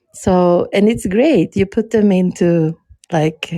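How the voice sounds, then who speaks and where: In a very clean recording with a silent background, a woman with a non-native accent speaks at a very slow pace in a dark, mellow tone. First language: not English. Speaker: podcast guest. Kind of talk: casual chat. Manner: hesitant, many fillers.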